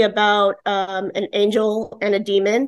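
A woman with an American accent speaks at a moderate pace and fairly high pitch. It is an ordinary speaking voice. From New York, the Bronx. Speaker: romance author. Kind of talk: interview.

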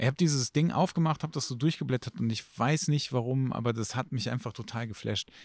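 A man's medium-pitched voice at a very fast pace with hardly any pauses and ordinary pitch variation, dry and close with no echo, in a very clean recording with a silent background. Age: 40s. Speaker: photographer. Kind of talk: casual chat.

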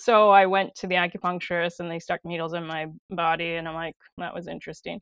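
Very fast, monotone speech from a woman, fairly low in pitch, flat in intonation, with big swings in loudness. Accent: Wisconsin. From Wisconsin, De Pere. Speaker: acupressure practitioner. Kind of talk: interview.

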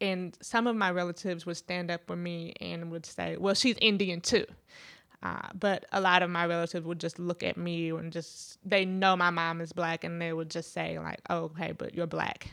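On a very clean recording with a silent background, a woman with an American accent speaks at a fairly low pitch in a flat monotone. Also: moderate pace. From US Midwest. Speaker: podcast co-host. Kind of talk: casual chat.

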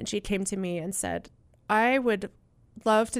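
A woman with an American accent, medium pitch and fairly even intonation, at a moderate pace on a very clean recording with a silent background. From US Southwest (Utah, Colorado, Arizona). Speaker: pastor and ministry director. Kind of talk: interview. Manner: hesitant with many fillers.

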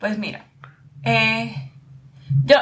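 A woman talks with vocal fry and very wide swings in pitch. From Puerto Rico. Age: young. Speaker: lawyer, podcast host. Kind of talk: interview conversation.

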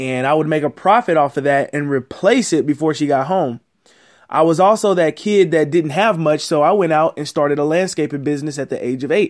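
A man with a normal speaking voice at a fairly high pitch, ordinary pitch variation and a fairly quick pace, in a very clean recording with a silent background. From Houston, Texas. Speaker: business podcast host. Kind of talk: solo podcast monologue, motivational business advice. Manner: casual, direct.

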